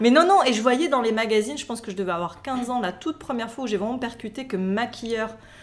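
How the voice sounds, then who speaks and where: Her intonation is lively. The woman speaks at a very fast speed. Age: 40s. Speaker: nail artist. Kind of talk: casual chat.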